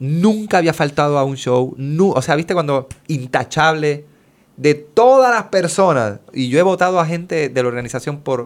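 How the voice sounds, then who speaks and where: Using a normal speaking voice, a man at a fairly high pitch moves along at a moderate pace with lively intonation. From Puerto Rico. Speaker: children's musician. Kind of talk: casual chat.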